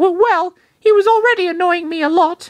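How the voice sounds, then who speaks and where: In a put-on character voice, the speaker sounds squeaky and moves at a fairly quick pace. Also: man. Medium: read story. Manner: curt, grumbling.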